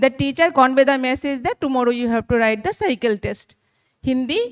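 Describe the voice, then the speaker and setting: Her voice is high-pitched with lively intonation, and the woman is heard in a dry, close sound with no echo. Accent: Bengali. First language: Bengali. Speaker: teacher sharing an anecdote. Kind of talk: audience comment in a workshop. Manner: halting, many fillers.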